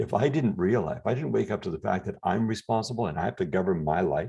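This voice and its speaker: A man's very fast delivery, fairly low in pitch, with vocal fry and a dark, mellow tone. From Canada. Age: 60s. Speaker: health and anti-aging guest. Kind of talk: interview conversation.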